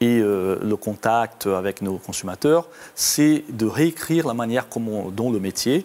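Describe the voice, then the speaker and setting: Speaking at a very slow pace, a man with a slight Brazilian accent uses a medium pitch with ordinary pitch variation. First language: Portuguese (speaking French). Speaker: company IT executive. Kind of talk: interview. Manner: halting, many hesitations.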